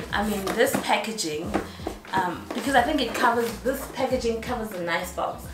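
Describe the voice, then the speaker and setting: The speech moves at a moderate pace through loud background noise. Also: woman. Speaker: beauty vlogger. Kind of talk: casual vlog chat.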